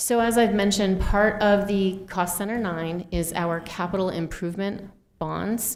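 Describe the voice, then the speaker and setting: At a fairly slow pace, a woman speaks with audible room echo. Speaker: school finance official. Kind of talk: budget presentation at meeting.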